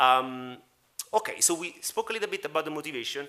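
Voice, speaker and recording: A bright, sharp tone in an Italian accent. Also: man. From Italy. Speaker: media entrepreneur and panel moderator. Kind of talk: panel discussion. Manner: halting, many fillers.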